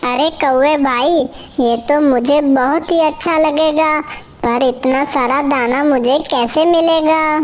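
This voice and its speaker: In a cartoonish character voice, a woman speaks very slowly at a high pitch, with very even loudness and fairly even intonation, over light background noise. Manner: earnest, trusting.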